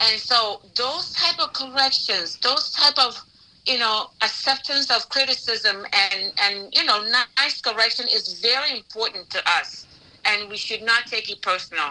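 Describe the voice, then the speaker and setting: Against noticeable background noise, a woman speaks at a fairly slow pace with lively intonation. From Africa (Nigeria). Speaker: pastor and relationship talk show host. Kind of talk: live talk show discussion. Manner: gets loud when emotional.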